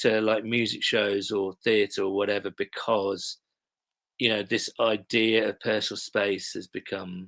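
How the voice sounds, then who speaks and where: A man with an English accent, fairly low in pitch, in a flat monotone at a fairly slow pace, with dry, close sound, no echo, and a very clean recording over a silent background. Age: middle-aged. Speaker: TV blogger and sports fan. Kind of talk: casual chat.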